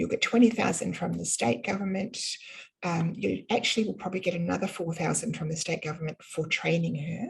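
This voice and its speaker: A woman speaks with a New Zealand accent. Her pace is fairly quick. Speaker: business funding consultant. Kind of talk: live webinar presentation. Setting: online webinar. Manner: casual, many fillers.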